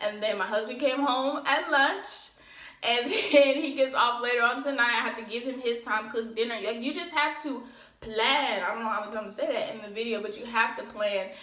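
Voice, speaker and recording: Amid noticeable background noise and audible room echo, a woman speaks at a high pitch with ordinary pitch variation. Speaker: lash business owner and vlogger. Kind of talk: casual vlog talk. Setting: home office. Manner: fast.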